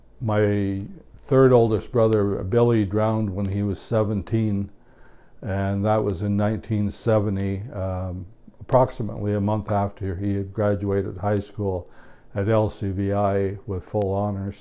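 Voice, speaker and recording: In an Ontario accent, a man speaks at a fairly slow pace with a fairly low pitch and monotone, flat intonation. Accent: Canadian English (Ontario). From Ontario, Canada (Omemee, Kawartha Lakes). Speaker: retired tradesman recounting his life. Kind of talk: oral history interview. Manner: hesitant, many fillers.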